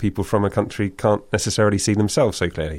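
Recorded very cleanly against a silent background, the speaker has ordinary pitch variation and a British accent. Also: man. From UK. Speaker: author. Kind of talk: interview.

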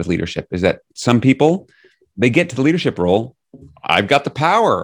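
The background is quiet as a man speaks with an American accent. He talks very fast, his pitch swinging very widely. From New York City. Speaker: leadership coach and author. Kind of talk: interview.

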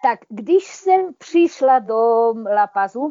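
A woman talks at a very slow pace. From eastern Slovakia, Prešov. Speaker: retired chemistry professor, expatriate. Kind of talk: interview.

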